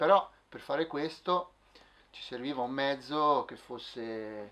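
Here a man is speaking. His pace is fairly slow. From Milan, northern Italy. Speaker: musician and playwright. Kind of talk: testimony interview. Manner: halting. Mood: earnest, reflective. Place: office. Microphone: camera far.

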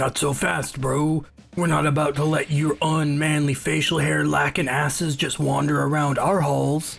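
A raspy male voice of fairly high pitch, at a moderate pace and very even loudness. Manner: cocky, mocking, bro-speak.

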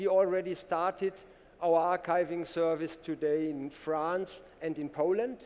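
In a German accent, a man talks at a fairly slow pace. His pitch is high and his intonation fairly even. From Germany. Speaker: company co-founder and CTO. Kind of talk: conference company presentation. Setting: conference stage with audience. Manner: formal, businesslike. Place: stage. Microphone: headset.

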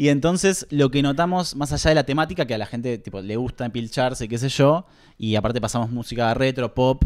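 In a quiet setting, a man's pitch varies an ordinary amount. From Argentina. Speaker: film collective member; guest. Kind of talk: casual interview. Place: home room. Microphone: handheld.

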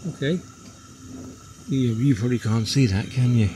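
At a moderate pace, a man speaks at medium pitch with a dark, mellow tone and ordinary pitch variation.

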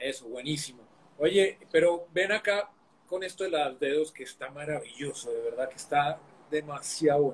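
Loudness swings widely as a man talks at a moderate pace with ordinary pitch variation over light background noise. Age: 50s. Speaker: online talk show host, personal growth; interview host. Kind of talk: interview on live stream. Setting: live video stream. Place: home room. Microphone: video call.

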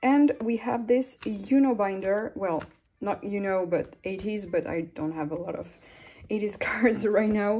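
A woman at a fairly slow pace, with ordinary pitch variation. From France. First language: French. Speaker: YouTuber and K-pop photocard collector. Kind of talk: casual vlog chat. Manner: hesitant, many fillers and frequent laughter. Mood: relaxed, chatty. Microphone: phone near.

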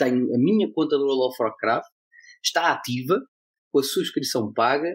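Speaking in a plain, everyday voice, a man talks at a fairly slow pace with a fairly high pitch and ordinary pitch variation. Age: 30s. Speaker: blockchain association president. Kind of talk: casual chat.

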